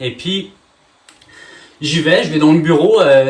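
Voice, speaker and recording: With noticeable background noise behind him, a man speaks in an energetic tone at a fairly high pitch. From France. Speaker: real estate trainer and coach. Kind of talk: masterclass presentation. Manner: fast; energetic, many filler hesitations.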